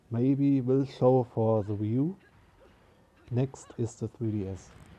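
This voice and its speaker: A man with a non-native accent speaks at a very slow pace and medium pitch in a dark, mellow tone with fairly even intonation. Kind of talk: casual talk to camera. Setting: poor-quality microphone. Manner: improvised, unscripted.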